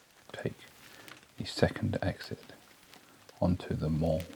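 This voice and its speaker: Soft-spoken and soothing in tone, a man talks at a very slow pace in a monotone, flat manner against noticeable background noise. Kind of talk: sleep story. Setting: studio. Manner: soft-spoken, slow, soothing.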